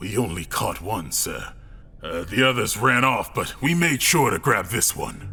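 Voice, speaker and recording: A man's put-on character voice at medium pitch, with lively intonation and a moderate pace over music in the background. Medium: audio drama. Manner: stammering, deferential.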